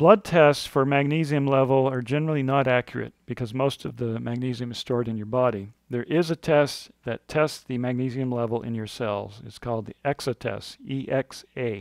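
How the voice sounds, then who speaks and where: A man's medium-pitched voice at a moderate pace with hardly any pauses and ordinary pitch variation, in a dry, close sound with no echo and a quiet background. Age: 60s. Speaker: author. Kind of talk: reading aloud. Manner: halting.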